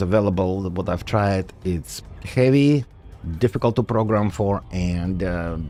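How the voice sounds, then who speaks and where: The speaker has a non-native accent and goes at a fairly slow pace with ordinary pitch variation. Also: man. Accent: noticeable foreign. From Soviet Union, raised mostly in United States. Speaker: gaming streamer and software developer. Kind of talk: casual live-stream chat. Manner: casual with frequent fillers (uh, um).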